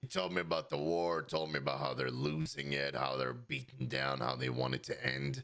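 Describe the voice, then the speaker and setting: A man puts on a raspy character voice with a very deep, low pitch. He speaks at a moderate pace. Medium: game stream. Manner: casual, rambling.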